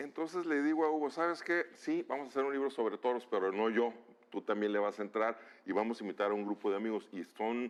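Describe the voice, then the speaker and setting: A man with a medium pitch speaks at a very fast pace with lively intonation. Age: 60s. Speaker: author and bullfighting expert. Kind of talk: interview. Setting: studio.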